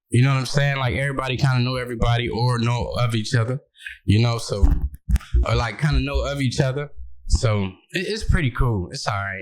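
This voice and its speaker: A man with an American accent, a normal speaking voice, medium pitch, ordinary pitch variation and a fairly quick pace. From Michigan, Battle Creek. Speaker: comedian. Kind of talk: casual chat. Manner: laid-back.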